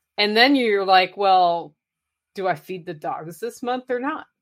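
With an American accent and an unremarkable speaking voice, a woman talks at a moderate pace in a medium pitch, her pitch varying in an ordinary way. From Oregon. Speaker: podcaster and motivational speaker. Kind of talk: casual interview.

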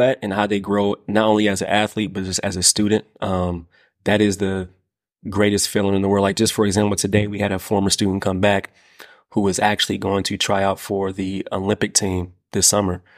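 A man with an American accent and a normal speaking voice talks at a fairly quick pace and a fairly low pitch. The recording is very clean, with a silent background. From US Midwest, Indiana. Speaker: basketball coach and educator. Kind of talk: casual chat.

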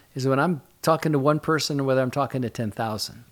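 A man speaks at a fairly quick pace and a medium pitch. His pitch varies in an ordinary way, and it is an unremarkable speaking voice. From Michigan. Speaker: pastor. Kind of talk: interview. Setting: studio.

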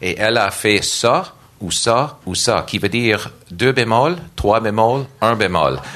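A man with an English accent at a very slow pace and lively intonation, with audible room echo and noticeable background noise. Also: medium pitch for a man. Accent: English-speaker accent in French. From Nova Scotia, Canada. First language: English (speaking French). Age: 50s. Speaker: church worship director and organist. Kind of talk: panel discussion. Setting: stage with audience.

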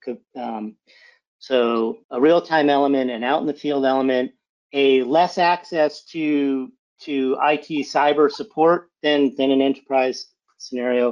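The man has an ordinary speaking voice, fairly high in pitch, in an American accent. He talks at a fairly slow pace with ordinary pitch variation. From Massachusetts, near Boston. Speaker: cybersecurity executive. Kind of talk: interview.

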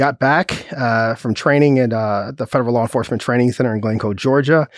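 With an American accent, a man speaks at a fairly quick pace in a plain, everyday voice of medium pitch. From Chicago, south side. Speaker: police chief. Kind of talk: interview.

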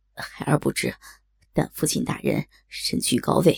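Delivered at a moderate pace, a put-on character voice sounds raspy and shaky. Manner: trembling, frightened.

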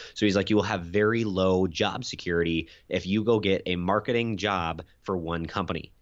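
A man with an American accent and a very deep, low pitch, at a moderate pace with hardly any pauses. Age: 20s. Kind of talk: interview. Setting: remote call. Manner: animated.

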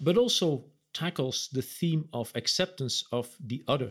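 A man with an unremarkable speaking voice, lively intonation and a moderate pace. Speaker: business executive co-host. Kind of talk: interview. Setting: video call.

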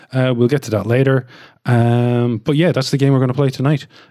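This is a man at a medium pitch. His tone is dark and mellow. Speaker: tabletop game master. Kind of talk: tabletop roleplay narration. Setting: around a table in person. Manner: animated.

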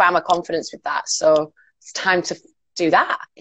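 This woman speaks with a Cumbrian accent at a moderate pace. Her pitch sits fairly low. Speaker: radio presenter and DJ. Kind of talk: casual chat. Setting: video call.

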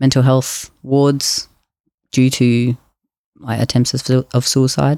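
At a fairly slow pace, a man with an Australian accent speaks in a medium pitch with a dark, mellow tone and monotone, flat intonation, the sound dry and close with no echo on a very clean recording with a silent background. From Queensland, Australia. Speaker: podcast guest sharing mental health story. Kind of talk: interview testimony.

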